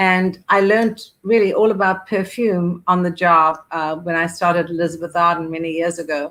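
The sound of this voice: A woman speaks at a moderate pace in a fairly low, fairly bright voice with little rise and fall in pitch.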